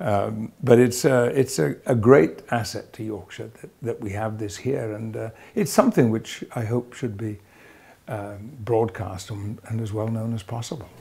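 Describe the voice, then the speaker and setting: A man's dark, mellow, somewhat breathy voice at a fairly slow pace, with ordinary pitch variation and big swings in loudness. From Yorkshire, England. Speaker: actor. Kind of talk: interview answer. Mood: warm, proud, smiling. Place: hall. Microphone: lapel.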